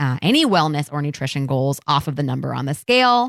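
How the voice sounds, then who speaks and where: Speaking at a moderate pace with lively intonation and a Midwestern US accent, the voice sounds dry and close with no echo, in a very clean recording against a silent background. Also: woman. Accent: US Midwest. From Ohio (Columbus). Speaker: podcast host, dietitian. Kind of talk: casual chat.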